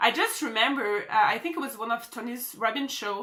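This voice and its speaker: Speaking at a moderate pace with a French accent, a woman sounds animated, her high pitch, bright, sharp tone and lively intonation standing out. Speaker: social media marketer. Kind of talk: motivational vlog.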